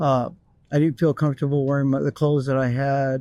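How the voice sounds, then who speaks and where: The speaker is a man. His voice carries a dark, mellow tone. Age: 60s. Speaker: interviewee. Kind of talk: interview. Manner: casual, with hesitations.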